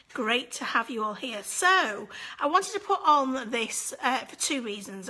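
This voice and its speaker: There is noticeable background noise as a woman speaks in a British accent. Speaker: angel medium hosting live session. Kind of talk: live stream chat with viewers. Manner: casual, chatty.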